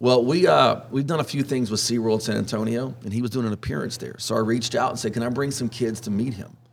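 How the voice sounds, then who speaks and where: A man's medium-pitched voice in a Texan accent, at a very fast pace with hardly any pauses and ordinary pitch variation. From Southeast Texas (Orange). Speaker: wildlife expert and magazine editor. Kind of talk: casual interview.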